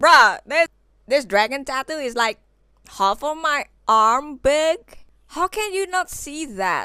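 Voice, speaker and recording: A woman with an Indonesian accent speaks at a very slow pace in a raised, projected voice with a bright, sharp tone. Her high pitch makes very wide swings, in a dry, close sound with no echo. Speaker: vintage fashion vlogger. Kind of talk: casual vlog talk. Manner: animated.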